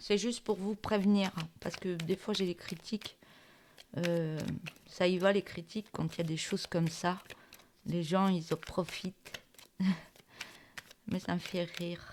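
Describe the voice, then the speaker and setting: At a fairly slow pace with long, frequent pauses, a woman speaks at a medium pitch in a monotone, flat intonation. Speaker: tarot reader. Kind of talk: tarot reading. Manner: hesitant, many fillers.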